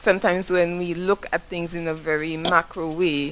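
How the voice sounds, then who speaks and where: A woman with a Saint Lucian accent speaks at a fairly low pitch. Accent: Saint Lucian accent, AI fails to recognize it. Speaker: business owner, audience member at forum. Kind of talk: audience question at public forum. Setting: forum hall with audience. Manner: halting, self-correcting.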